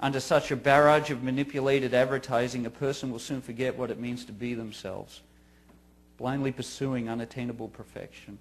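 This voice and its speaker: A man with an Australian accent talks at a fairly quick pace. His medium-pitched voice stays flat and monotone. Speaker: grieving father giving a talk. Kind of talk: scripted narration. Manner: formal.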